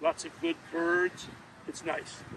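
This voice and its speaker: Noticeable background noise runs under this recording. The man's voice is high pitched. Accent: American. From New York City, Queens. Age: 70s. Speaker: local historian. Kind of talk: interview. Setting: outdoors. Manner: halting.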